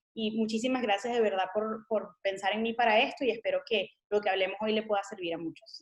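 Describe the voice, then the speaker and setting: A woman with a Venezuelan accent speaks at a fairly high pitch and a fairly quick pace, with ordinary pitch variation and hardly any pauses. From Venezuela, Caracas. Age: 30s. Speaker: missionary and lawyer. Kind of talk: interview testimony.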